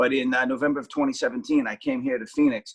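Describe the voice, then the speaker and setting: Dry and close with no echo, a man with a Boston accent speaks at a fairly quick pace. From Boston, South Boston. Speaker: actor and TV travel show host. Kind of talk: interview.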